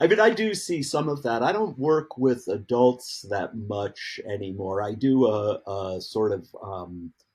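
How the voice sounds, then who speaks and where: The man's pace is very slow. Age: 60s. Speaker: outdoor educator. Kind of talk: casual chat.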